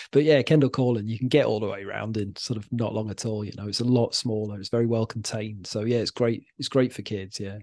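Very fast and with hardly any pauses, a man talks in a dark, mellow tone at a medium pitch with fairly even intonation. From Wales. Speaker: podcaster. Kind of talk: casual chat.

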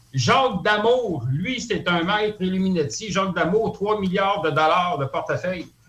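Amid noticeable background noise, a man with a Quebec accent speaks at a fairly slow pace with a high pitch, lively intonation and hardly any pauses. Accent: Québécois French. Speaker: conspiracy theory commentator. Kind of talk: radio talk show discussion. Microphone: crackly phone line.

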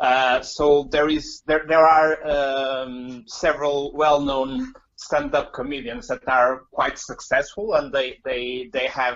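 A man's fairly high voice in a Portuguese accent, very slow, with ordinary pitch variation. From Portugal, Porto. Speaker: comedian. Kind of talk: casual interview. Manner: halting.

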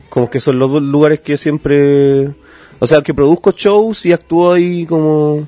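A man's dark, mellow voice at a fairly high pitch. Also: ordinary pitch variation, fairly slow pace, dry, close sound with no echo. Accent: Chilean. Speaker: stand-up comedian. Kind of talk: casual chat.

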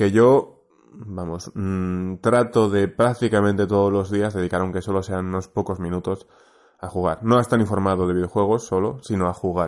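Fairly even intonation and a moderate tempo from a man with a fairly low voice. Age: 30s. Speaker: podcast listener. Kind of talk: recorded voice message. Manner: halting.

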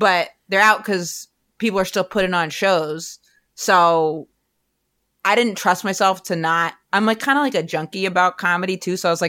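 At medium pitch, a woman talks in a normal speaking voice with ordinary pitch variation. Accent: American. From US, rural Maine. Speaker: stand-up comedian. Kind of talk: casual interview chat.

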